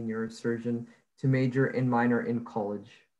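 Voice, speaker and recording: A man talks at a moderate pace with monotone, flat intonation. The background is quiet. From Egypt. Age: young. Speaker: college student; student interviewer. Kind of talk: interview. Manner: hesitant. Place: home room. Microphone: earbuds.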